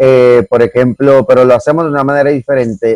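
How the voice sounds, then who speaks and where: Recorded dry and close with no echo, a man speaks at a medium pitch with a dark, mellow tone and fairly even intonation. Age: 40s. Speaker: comedian. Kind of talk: casual chat.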